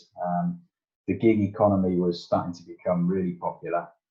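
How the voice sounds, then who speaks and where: The man's voice is very deep and low, and he takes his words at a fairly slow pace. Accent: Yorkshire. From Yorkshire, northern England. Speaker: tech entrepreneur and engineer. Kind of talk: podcast interview. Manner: hesitant, many fillers.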